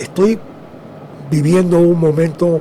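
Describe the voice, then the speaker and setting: Noticeable background noise behind a man's high voice. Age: 70s. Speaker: plaintiff in a legal case. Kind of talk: interview.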